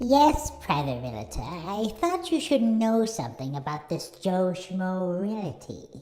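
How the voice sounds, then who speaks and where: Someone puts on a character voice at a middle pitch and a fairly slow pace. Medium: audio drama. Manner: smug, gloating.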